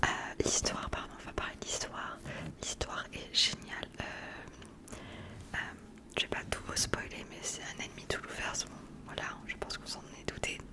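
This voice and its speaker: A woman whispers with big swings in loudness and long, frequent pauses amid noticeable background noise. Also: fairly slow pace. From southwest France. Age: 20s. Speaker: ASMR creator. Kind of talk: casual talk to camera, book review.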